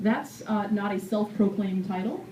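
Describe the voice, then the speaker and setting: A woman at medium pitch, with audible room echo. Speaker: city mayor. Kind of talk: public meeting address. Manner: fast.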